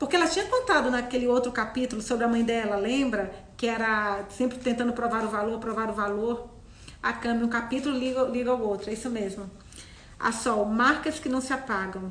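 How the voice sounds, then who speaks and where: The woman's voice is fairly high, with ordinary pitch variation. She speaks at a fairly quick pace, and the room echo is audible. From Minas Gerais, Brazil, near Bahia. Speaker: book club host. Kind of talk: casual chat, live book discussion. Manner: conversational, hesitant with repetitions.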